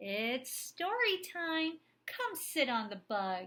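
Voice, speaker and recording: Projecting a raised, put-on character voice, a woman goes very slowly at an extremely high pitch with very wide pitch swings. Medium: read story. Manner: cheerful, teacherly, playful.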